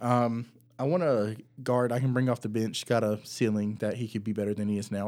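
Talking at a fairly quick pace, a man has an unremarkable speaking voice at medium pitch. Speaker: podcast host. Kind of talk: casual chat.

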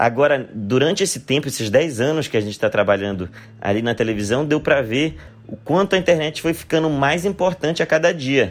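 In a very clean recording with a silent background, a man with an unremarkable speaking voice uses lively intonation at a fairly high pitch. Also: fairly quick pace. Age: 30s. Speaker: comedian. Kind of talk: recorded monologue answering questions.

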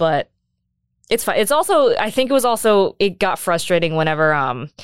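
In a normal speaking voice with an American accent, a woman speaks at a fairly quick pace on a very clean recording with a silent background. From United States. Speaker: adoptee sharing her story. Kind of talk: casual interview.

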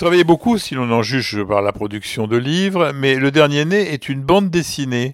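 With an unremarkable speaking voice, a man talks at a moderate pace and a fairly high pitch, his intonation lively and hardly any pauses between words. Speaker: doctor and medical journalist, podcast host. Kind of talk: interview; storytelling.

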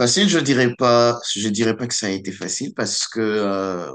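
A man keeps to a moderate pace with ordinary pitch variation against a quiet background. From DR Congo, Kinshasa. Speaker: student. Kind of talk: radio interview. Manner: halting, repeats words.

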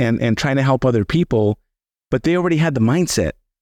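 Dry and close with no echo, a man with an American accent speaks at a fairly quick pace in a normal speaking voice, at a medium pitch with ordinary pitch variation. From Los Angeles (Boyle Heights), Southern California. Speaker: financial planner and author. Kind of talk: interview conversation.

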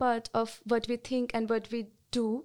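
Recorded very cleanly against a silent background, a woman with a Bengali accent talks at a moderate pace with a fairly high pitch. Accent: Indian English, Bengali. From India, West Bengal. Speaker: sociology student. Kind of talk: panel discussion.

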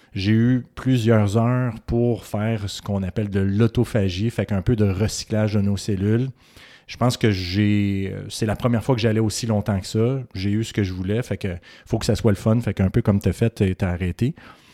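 In a Quebec accent, a man talks at a moderate pace with a fairly low pitch, fairly even intonation and a dark, mellow tone, recorded very cleanly against a silent background with a dry, close sound and no echo. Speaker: physician podcast co-host. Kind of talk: casual chat.

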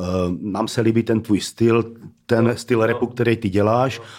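A man with an ordinary speaking voice and medium pitch talks at a moderate pace with fairly even intonation, in a very clean recording with a silent background. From Czech Republic, Zlín (Moravia). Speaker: rapper. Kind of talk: casual chat.

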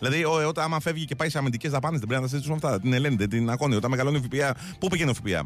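Over noticeable background noise, a man talks very fast with hardly any pauses, his fairly high voice holding very even loudness and ordinary pitch variation. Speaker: radio host. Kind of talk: casual chat.

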